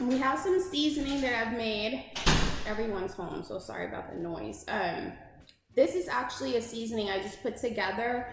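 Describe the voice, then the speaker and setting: A woman speaks at a moderate pace, her pitch swinging very widely. Noticeable background noise and audible room echo fill the recording. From Louisiana. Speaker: cooking channel host. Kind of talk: cooking tutorial. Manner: casual, chatty.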